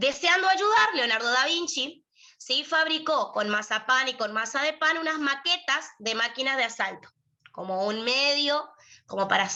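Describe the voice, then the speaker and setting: Projecting a raised voice at a high pitch, a woman speaks fairly slowly with very wide pitch swings. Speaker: lawyer and university prep tutor. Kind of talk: lecture.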